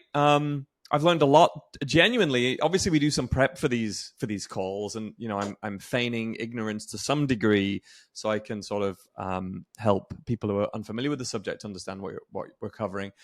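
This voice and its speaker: A man with an English accent talks at a fairly quick pace and a medium pitch, with lively intonation. The sound is dry and close, with no echo. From England. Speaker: podcast host. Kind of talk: interview.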